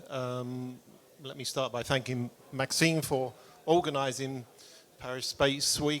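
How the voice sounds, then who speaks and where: A British accent marks this man's medium-pitched voice. His delivery is fairly slow, with monotone, flat intonation. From UK. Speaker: audience member asking question, business owner. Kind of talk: audience question. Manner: halting, hesitant.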